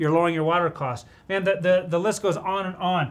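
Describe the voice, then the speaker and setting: At a moderate pace, a man speaks in a high pitch with fairly even intonation. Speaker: presenter. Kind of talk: tutorial. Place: office.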